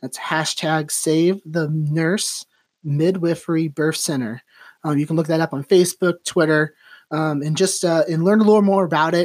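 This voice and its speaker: An ordinary speaking voice from a man at a fairly high pitch and moderate pace, very clean with a silent background and a dry, close sound without echo. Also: fairly even intonation. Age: 30s. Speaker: podcast host and realtor. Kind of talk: casual interview chat. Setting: guest's office.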